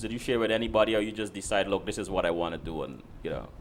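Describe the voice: Talking at a very fast pace, a man with a low pitch uses lively intonation.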